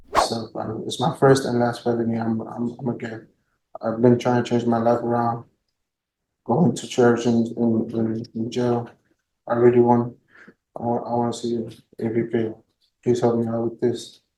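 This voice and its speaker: In a Spanish accent, a man with a dark, mellow tone talks at a medium pitch and moderate pace, with monotone, flat intonation and long, frequent pauses. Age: 20s. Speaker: defendant. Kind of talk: courtroom testimony. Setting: courtroom. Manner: halting; quiet.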